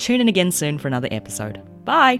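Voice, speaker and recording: Fairly quick speech from a woman with a New Zealand accent, very wide pitch swings, and music in the background. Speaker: podcast host.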